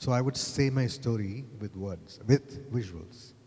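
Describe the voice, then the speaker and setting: The man's voice sounds somewhat breathy. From Kerala, India. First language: Malayalam. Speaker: advertising creative director. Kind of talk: panel discussion. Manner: halting, repeats words.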